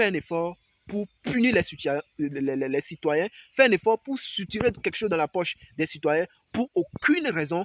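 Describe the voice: A man speaks at a moderate pace with a high pitch and lively intonation, the sound dry and close with no echo.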